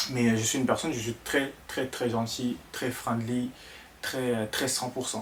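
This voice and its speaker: Someone with an Ivorian accent speaks at a moderate pace over noticeable background noise. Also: man. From Ivory Coast (Abidjan). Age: 20s. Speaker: content creator, vlogger. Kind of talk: casual vlog talk to camera. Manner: hesitant, many fillers and repetitions.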